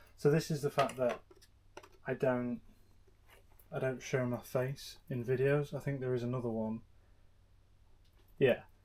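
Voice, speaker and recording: Quiet and bored in tone, a man with an English accent speaks at a medium pitch and a fairly slow pace. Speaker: motorbike YouTuber. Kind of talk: casual vlog commentary. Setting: home garage. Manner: quiet, subdued; flat, bored-sounding.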